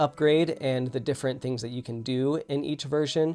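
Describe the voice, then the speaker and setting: An ordinary speaking voice with fairly even intonation. The pace is moderate. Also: man. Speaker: web developer YouTuber live coding. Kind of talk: live stream tutorial. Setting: live stream. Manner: rambling with many fillers.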